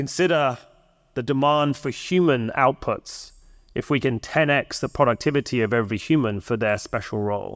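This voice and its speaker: This is a man with a normal speaking voice, medium in pitch with ordinary variation, talking at a moderate pace. The recording is very clean, with a silent background. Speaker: startup founder. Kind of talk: conference panel talk. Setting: stage with audience.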